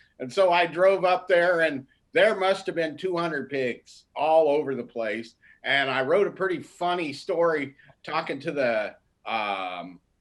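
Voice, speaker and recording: In a very clean recording with a silent background, a man with a plain, everyday voice talks fairly slowly at a fairly high pitch with lively intonation. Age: 60s. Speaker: newspaper arts editor. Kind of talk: interview.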